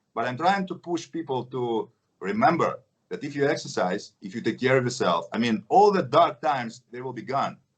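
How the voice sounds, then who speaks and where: A man with a Russian accent speaks at a fairly high pitch. His voice has very wide pitch swings and big swings in loudness. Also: moderate pace. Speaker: action film actor. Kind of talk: interview.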